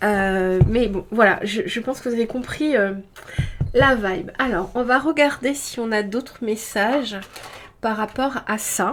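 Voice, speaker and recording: A woman speaks with a fairly high pitch. Noticeable background noise sits behind her. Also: ordinary pitch variation, fairly slow pace. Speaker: tarot card reader. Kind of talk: intuitive card reading guidance. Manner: hesitant, many fillers.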